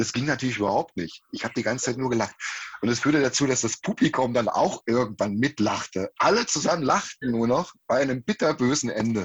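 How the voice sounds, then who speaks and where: A man's unremarkable speaking voice, medium in pitch, with lively intonation at a fairly quick pace. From eastern Germany, Halle an der Saale. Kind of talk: interview.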